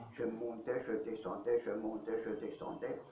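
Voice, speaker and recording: Through audible room echo and noticeable background noise, a man with an Alsatian accent speaks at a very slow pace and medium pitch with ordinary pitch variation. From Alsace, France. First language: Alsatian (speaking French). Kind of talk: interview, life testimony. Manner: hesitant, many fillers.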